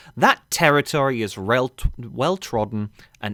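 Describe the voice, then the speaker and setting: A man with an English accent speaks with very wide pitch swings. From England. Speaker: gaming commentator. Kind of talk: rant. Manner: informal, swearing-laced.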